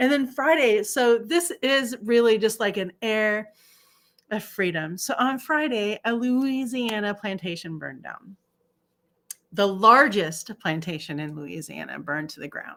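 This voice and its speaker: A woman talks at a fairly slow pace in a fairly high voice with very wide pitch swings and big swings in loudness. Her tone is animated, and the recording is very clean with a silent background. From South Africa. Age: 50s. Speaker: astrologer and livestream host. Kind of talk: casual livestream commentary.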